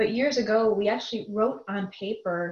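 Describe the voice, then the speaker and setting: Somewhat breathy and fairly high-pitched, a woman with an American accent talks at a moderate pace with fairly even intonation. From US Midwest, Chicago suburbs. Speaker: business executive. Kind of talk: interview conversation.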